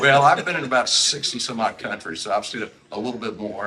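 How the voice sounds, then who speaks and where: Talking at a very fast pace, a man speaks with a Southern US accent. His pitch variation is ordinary. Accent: Southern US (Georgia). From US South, Savannah, Georgia. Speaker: retired naval officer. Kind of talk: interview.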